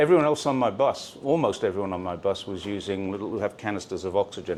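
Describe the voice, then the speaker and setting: Lively intonation runs through this man's very fast speech. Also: fairly low pitch for a man. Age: 60s. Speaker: YouTuber and cyclist. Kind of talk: casual chat. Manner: halting.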